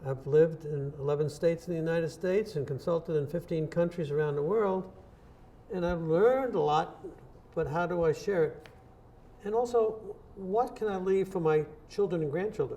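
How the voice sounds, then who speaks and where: Speaking at a fairly quick pace yet with long, frequent pauses, a man uses a high pitch with ordinary pitch variation. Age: 80s+. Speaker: innovation consultant. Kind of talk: interview.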